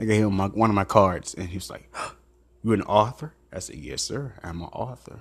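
A man talks fairly quickly in an unremarkable speaking voice, fairly low in pitch with ordinary variation. His loudness swings widely. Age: 30s. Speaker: podcast host and author. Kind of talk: motivational monologue.

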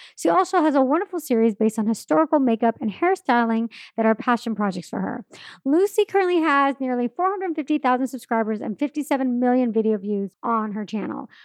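An animated woman with a high voice and very wide pitch swings, at a fairly quick pace, in a dry, close sound with no echo against a quiet background. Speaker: podcast host. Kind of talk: casual interview.

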